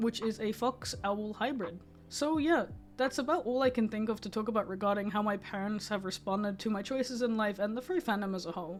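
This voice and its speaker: Here a woman has an unremarkable speaking voice, pitched fairly high with ordinary pitch variation. Her pace is fairly quick. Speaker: furry artist. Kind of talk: casual storytime talk to camera.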